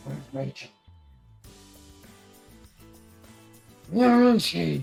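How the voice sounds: A strained, put-on character voice over faint background music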